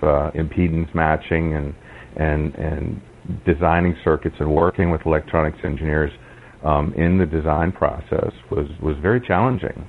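Against noticeable background noise, a man with a very deep, low pitch speaks at a moderate pace with fairly even intonation. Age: 40s. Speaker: blind Linux user and accessibility advocate. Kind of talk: interview.

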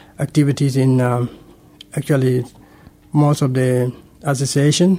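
The voice is monotone and flat, with a dark, mellow tone and a fairly slow pace. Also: man. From Sudan. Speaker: refugee interviewee. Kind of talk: radio interview. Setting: studio. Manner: halting, hesitant.

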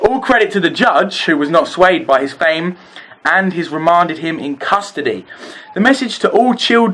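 A natural reading voice moves with lively intonation.

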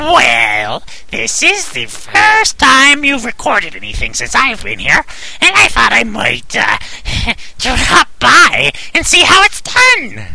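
Using a put-on character voice, a man delivers his lines at a fairly slow pace. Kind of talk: comic sidekick. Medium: audio drama. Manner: excitable, bouncy.

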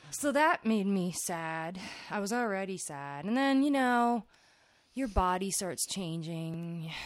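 With a New Jersey accent, a woman speaks at a very slow pace and medium pitch, her pitch swinging very widely. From New Jersey (Old Bridge). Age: 30s. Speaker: podcast host. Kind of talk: casual chat.

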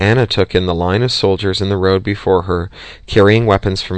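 Fairly even intonation accompanies a natural reading voice.

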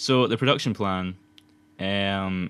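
A man with a Scottish accent, fairly low in pitch, with ordinary pitch variation. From Scotland. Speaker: podcast host, student filmmaker. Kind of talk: casual chat. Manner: fast.

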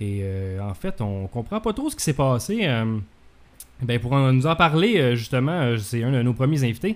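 At a moderate pace and medium pitch, a man speaks with lively intonation. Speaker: podcast host. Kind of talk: casual talk show hosting. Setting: home office.

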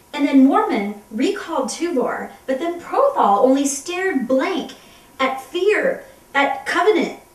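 Over noticeable background noise, a woman speaks at a high pitch with very wide pitch swings. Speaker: comedy web series co-host. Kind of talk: comedic dramatic reading of a novel. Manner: animated.

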